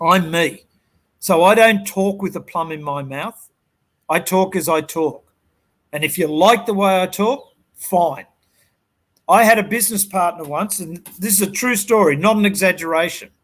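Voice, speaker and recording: With a strong Australian accent, a man speaks in a high pitch and an animated tone, at a moderate pace with ordinary pitch variation and long, frequent pauses. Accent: broad Australian. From Sydney, Australia (western suburbs). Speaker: business coach. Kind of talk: interview.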